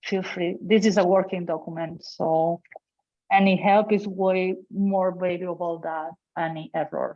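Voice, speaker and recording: Fairly slow, monotone speech with flat intonation in a Catalan accent. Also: woman, medium pitch for a woman. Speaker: open source contributor. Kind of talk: online work meeting.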